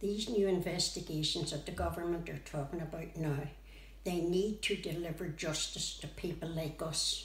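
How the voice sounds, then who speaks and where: With a Northern Irish accent, a woman speaks at a moderate pace amid noticeable background noise and audible room echo. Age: 80s+. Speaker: bereaved relative of a conflict victim. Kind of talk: testimony.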